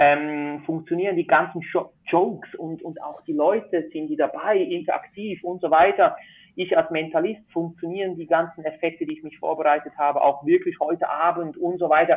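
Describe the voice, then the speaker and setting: With a Swiss accent, a man speaks at a moderate pace in a high pitch, his intonation flat and monotone while his loudness swings widely. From Switzerland. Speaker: magician. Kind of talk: casual interview.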